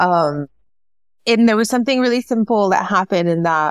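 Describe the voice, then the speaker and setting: Speaking in an American accent, a woman lets her intonation rise and fall in a lively way. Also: dry, close sound with no echo. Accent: Mexican American English. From US-Mexico border region. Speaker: author and English professor. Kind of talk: interview conversation.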